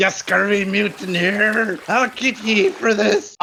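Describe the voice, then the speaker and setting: In a put-on character voice, the speaker talks at a fairly slow pace with a fairly high pitch. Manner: angry, threatening.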